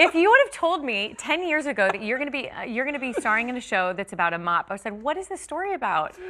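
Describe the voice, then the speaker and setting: A woman's raised, projected voice in an American accent, high-pitched and animated, very fast with hardly any pauses and very wide pitch swings, over noticeable background noise. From California. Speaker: stage actress. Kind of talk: casual interview.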